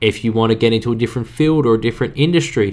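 Upbeat and very fast, a man talks at a medium pitch. His pitch varies in an ordinary way. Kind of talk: pep talk. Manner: earnest, direct, urging listeners to act now; casual, conversational, upbeat.

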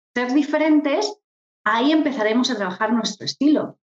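At a moderate pace, a woman speaks in a high voice with very wide pitch swings. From Murcia, Spain. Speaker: image consultant. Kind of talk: interview.

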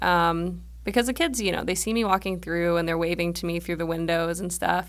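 The voice belongs to a woman. She speaks with an American accent. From grew up abroad and across US (military family: Germany, England, Japan). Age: 20s. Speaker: after-school program discipline coordinator. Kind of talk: casual interview.

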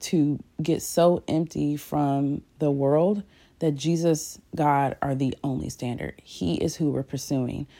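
In a very clean recording with a silent background, a woman with a very deep, low pitch and a dark, mellow tone speaks at a very slow pace with fairly even intonation. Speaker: podcast host and prayer leader. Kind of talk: fervent prayer; devotional talk with scripture reading. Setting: solo recording. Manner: earnest, heartfelt, fervent; warm, intimate, sometimes halting.

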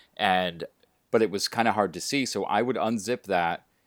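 An ordinary speaking voice, a man at a moderate pace on a very clean recording with a silent background. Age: 40s. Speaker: podcast host and coach. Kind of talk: interview.

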